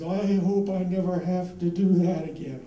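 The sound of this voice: A man puts on a character voice at a high pitch, and it sounds shaky. He talks at a moderate pace, with slight echo around him.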